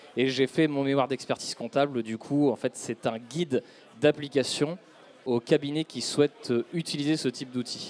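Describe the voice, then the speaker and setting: A man has a plain, everyday voice with a fairly high pitch, speaking at a moderate pace with fairly even intonation. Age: 30s. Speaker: chartered accountant. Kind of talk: business interview.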